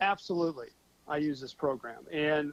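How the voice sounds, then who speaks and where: With an unremarkable speaking voice, a man talks at a moderate pace in a fairly high pitch with fairly even intonation, the sound dry and close with no echo. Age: 50s. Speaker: financial software promoter. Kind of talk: talk show interview. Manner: casual, with many fillers and repetitions.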